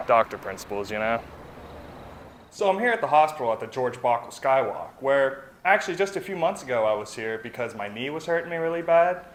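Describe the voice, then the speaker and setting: Pitched fairly high, a man talks at a fairly quick pace. His voice makes very wide pitch swings. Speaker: stand-up comedian. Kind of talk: stand-up comedy to camera. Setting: outdoors. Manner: laid-back.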